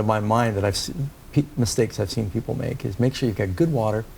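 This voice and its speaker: Very fast and somewhat breathy, a man with an American accent speaks at medium pitch in a dark, mellow tone. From New York City. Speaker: pastor. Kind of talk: interview.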